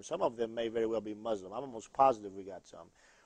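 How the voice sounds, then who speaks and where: Intonation stays fairly level throughout a plain, everyday voice. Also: man. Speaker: pastor and TV host. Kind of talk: call-in religious TV show. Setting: studio.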